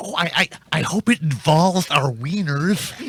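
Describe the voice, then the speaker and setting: In a put-on character voice, a man speaks at a moderate pace and a fairly high pitch, the sound dry and close with no echo. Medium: comedy sketch. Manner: goofy, slow.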